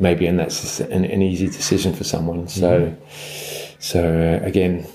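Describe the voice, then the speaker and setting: A man speaks with a London accent at a very deep, low pitch. His intonation is monotone and flat. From England, London. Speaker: surf guide publisher. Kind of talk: interview. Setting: surf lodge. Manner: halting.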